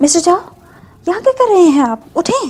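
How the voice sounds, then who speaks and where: Using a put-on character voice, a woman speaks at a very fast pace in an extremely high, squeaky pitch with very wide pitch swings. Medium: fan dub.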